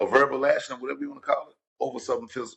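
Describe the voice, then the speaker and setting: This is a man's voice. He speaks with a Louisiana accent. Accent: Louisiana, southern US. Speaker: podcast co-host. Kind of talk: casual chat.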